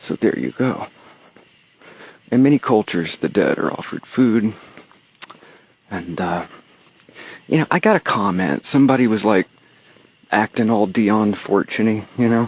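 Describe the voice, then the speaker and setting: A man with a Texan accent, fairly low in pitch with ordinary variation, at a moderate pace broken by long, frequent pauses, dry and close with no echo. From Texas. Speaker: occult vlogger. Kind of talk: casual vlog monologue. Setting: outdoors, walking from a cemetery at night. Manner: rambling with fillers and pauses.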